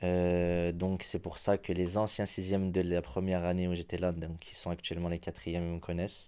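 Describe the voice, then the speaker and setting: A man speaks at a moderate pace in a very deep, low voice with a dark, mellow tone, flat monotone intonation and hardly any pauses, on a very clean recording with a silent background. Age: 20s. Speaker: boarding school educator. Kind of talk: interview. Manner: halting, with fillers.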